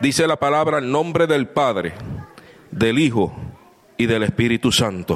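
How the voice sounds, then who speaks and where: Over noticeable background noise, a man talks with lively intonation, leaving long, frequent pauses. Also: medium pitch for a man, fairly slow pace. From Puerto Rico. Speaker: visiting preacher. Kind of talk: sermon. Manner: animated.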